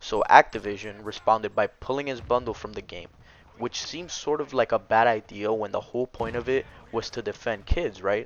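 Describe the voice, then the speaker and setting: A man's medium-pitched voice with ordinary pitch variation and big swings in loudness. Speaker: gaming commentary youtuber. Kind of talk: casual vlog commentary. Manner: fast.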